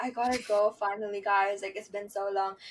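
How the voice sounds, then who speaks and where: A raspy, put-on character voice from a woman in a British accent, medium in pitch and at a fairly quick pace. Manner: badly imitated accent.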